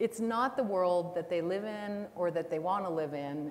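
A woman speaks at a fairly slow pace in an ordinary speaking voice, her pitch fairly low. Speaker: panelist. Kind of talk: panel discussion answer. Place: stage.

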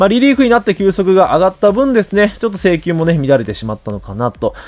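Very fast and with very wide pitch swings, a man's high voice comes through dry and close with no echo. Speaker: baseball YouTuber. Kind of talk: commentary video on player prospects. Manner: frequent filler words, polite formal style.

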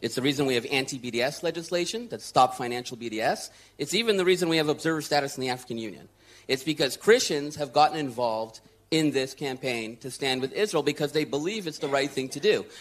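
A man talks at a very fast pace with a lively intonation and a fairly high pitch. The recording is very clean, with a silent background. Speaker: advocacy leader. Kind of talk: panel discussion. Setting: stage with audience.

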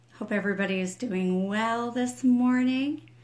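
Somewhat breathy, a woman talks at a very slow pace with fairly even intonation. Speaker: ministry leader and home school mom. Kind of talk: livestream devotional chat. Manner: quiet, trying not to wake husband.

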